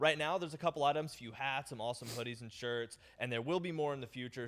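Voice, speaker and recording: Ordinary pitch variation marks a man's very fast speech. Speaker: game update presenter. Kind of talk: patch notes livestream presentation. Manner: animated.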